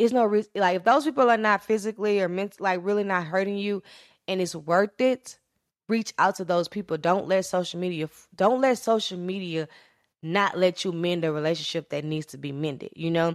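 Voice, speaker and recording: A woman with an American accent, an unremarkable speaking voice at medium pitch, a fairly quick pace, and a very clean recording with a silent background. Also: ordinary pitch variation. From rural Louisiana, US South. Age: 20s. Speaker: podcast host. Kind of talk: personal monologue, storytelling.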